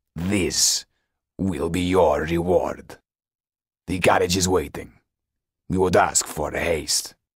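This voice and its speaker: In a put-on character voice, a man growls at a very deep, low pitch with monotone, flat intonation. He moves at a fairly slow pace, with long, frequent pauses. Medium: read story. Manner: cold, curt, contemptuous.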